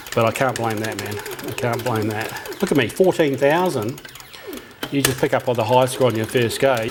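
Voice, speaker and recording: A man speaks in a relaxed tone with an Australian accent, at a medium pitch and moderate pace. His pitch varies in an ordinary way, and there is noticeable background noise. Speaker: retro gaming youtuber. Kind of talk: casual chat. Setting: at a cocktail arcade cabinet.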